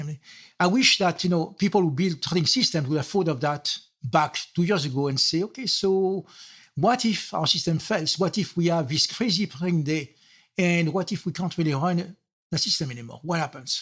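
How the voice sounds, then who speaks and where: A man's high-pitched voice at a moderate pace with ordinary pitch variation, on a very clean recording with a silent background. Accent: French. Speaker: software architect. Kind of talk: interview.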